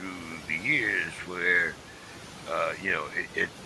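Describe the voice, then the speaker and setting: Very slow speech from a man with an American accent, over noticeable background noise. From Pittsburgh, US. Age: 70s. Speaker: talk show host, Vietnam veteran. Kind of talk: casual chat. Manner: halting.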